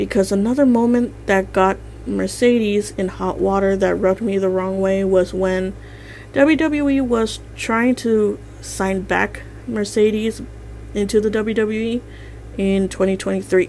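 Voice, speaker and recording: A woman speaks at a fairly slow pace. Her voice is shaky. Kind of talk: commentary narration.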